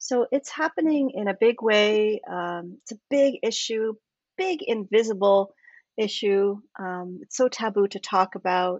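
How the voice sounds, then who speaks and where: A woman with a Canadian accent and an unremarkable speaking voice talks at a fairly slow pace, her pitch fairly high with ordinary variation. Her loudness swings widely. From Canada. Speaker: novelist and activist. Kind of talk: interview.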